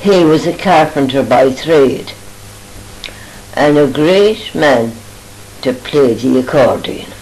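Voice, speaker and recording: In a western Irish accent, a woman speaks at a very slow pace with a very deep, low pitch, ordinary pitch variation and long, frequent pauses, while music plays in the background and the room echo is audible. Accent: rural west of Ireland. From Ireland, Oughterard, Co. Galway. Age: 80s+. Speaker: elderly mother reminiscing. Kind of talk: family reminiscence.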